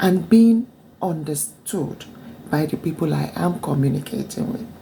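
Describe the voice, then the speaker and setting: Over noticeable background noise, a woman speaks fairly slowly in a fairly low voice with lively intonation. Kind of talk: casual talk to camera.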